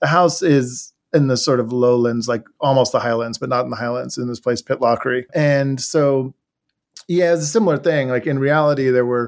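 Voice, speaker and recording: Here a man with an American accent has an unremarkable speaking voice, a medium pitch and ordinary pitch variation. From Washington DC area, US. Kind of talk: interview conversation and reading aloud.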